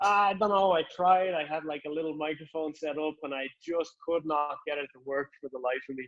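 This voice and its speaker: A man with a strong Irish accent speaks at a moderate pace in a fairly high pitch, with hardly any pauses. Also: fairly even intonation. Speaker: author. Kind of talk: casual chat.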